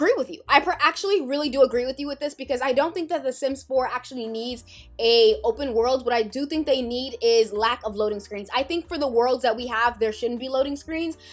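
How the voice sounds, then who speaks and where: With music in the background, the speech comes at a fairly quick pace with hardly any pauses, lively intonation, and big swings in loudness. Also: woman, high pitch for a woman. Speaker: Sims YouTuber. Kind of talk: casual vlog commentary. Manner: fast.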